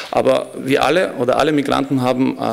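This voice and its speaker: Speaking at a moderate pace, the man shows ordinary pitch variation. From Montenegro. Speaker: foundation program manager; conference keynote speaker. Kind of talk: conference speech. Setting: stage with audience. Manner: formal. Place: hall. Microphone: podium.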